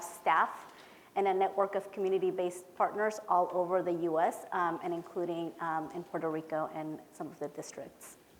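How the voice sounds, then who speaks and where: With a Spanish accent, a woman speaks at a medium pitch and fairly even intonation amid audible room echo. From Peru, moved to California at about ten. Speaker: education policy director. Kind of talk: conference presentation. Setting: conference hall with audience. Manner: casual, with many filler words.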